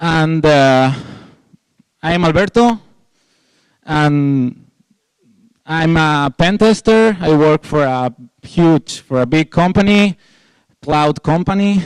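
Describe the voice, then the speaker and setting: A man with a fairly high pitch speaks very slowly with a Spanish accent, with long, frequent pauses and ordinary pitch variation. His loudness is very even, and the sound is dry and close with no echo. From Spain. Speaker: security researcher, conference speaker. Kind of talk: conference talk. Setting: stage with audience. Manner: informal, halting with fillers.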